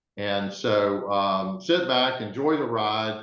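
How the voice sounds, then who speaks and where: With a Southern US accent, a man speaks in a fairly low voice. His pitch variation is ordinary. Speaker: webinar moderator, sustainability director. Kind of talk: webinar presentation. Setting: online webinar.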